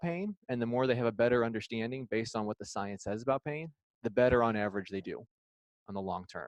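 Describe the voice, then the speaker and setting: A man with an American accent talks at a fairly quick pace, medium in pitch, with lively intonation. The sound is dry and close with no echo, over a quiet background. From Illinois. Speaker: physical therapist. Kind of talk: lecture.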